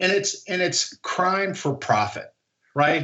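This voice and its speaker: The man talks at a moderate pace. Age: 60s. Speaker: investor, short-seller. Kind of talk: interview. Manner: animated; repetitive false starts.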